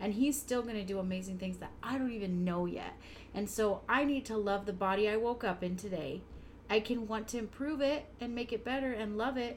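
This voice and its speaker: A woman's somewhat breathy, fairly high-pitched voice at a fairly quick pace, with ordinary pitch variation. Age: 30s. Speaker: podcast co-host, mom. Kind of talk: casual chat.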